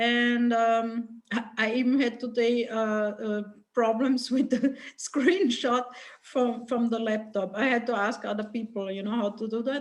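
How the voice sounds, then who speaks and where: Speaking in a non-native accent, a woman uses a fairly high pitch, fairly even intonation and a fairly slow pace. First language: not English. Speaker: workshop participant. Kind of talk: group discussion. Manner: halting.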